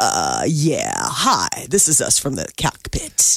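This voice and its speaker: In a put-on character voice, a man drawls very slowly with a raspy sound. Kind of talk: smooth, professional.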